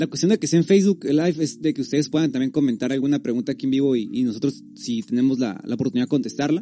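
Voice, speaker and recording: Music plays behind a man speaking at a very fast pace. His voice is fairly high, with ordinary pitch variation. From Tijuana, Mexico. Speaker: podcast host. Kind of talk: casual chat. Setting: live stream.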